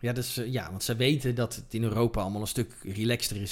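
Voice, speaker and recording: Moderate tempo and ordinary pitch movement from a man at a medium pitch. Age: 40s. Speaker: cinematographer. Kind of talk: interview. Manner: halting.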